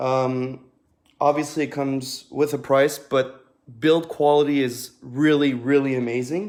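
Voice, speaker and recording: A man with a French accent, fairly high in pitch, at a fairly slow pace. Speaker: duct cleaner. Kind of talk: product demonstration livestream. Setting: live video stream. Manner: casual, with frequent fillers.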